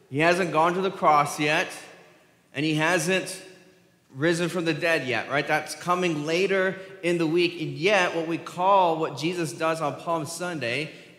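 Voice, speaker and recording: At a fairly slow pace, the speech holds a fairly even intonation, with audible room echo behind it. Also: man. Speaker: preacher. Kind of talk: sermon. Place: church.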